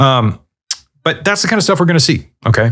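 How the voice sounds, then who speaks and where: A very fast, somewhat breathy delivery with lively intonation and an animated tone. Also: man. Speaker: gaming YouTuber. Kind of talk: casual commentary.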